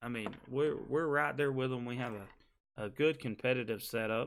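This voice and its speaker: A man with a Southern US accent, medium-pitched, with fairly even intonation. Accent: Southern US (Georgia). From US South, Georgia. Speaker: gaming streamer. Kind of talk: live stream tutorial. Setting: live stream with webcam. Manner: casual, conversational.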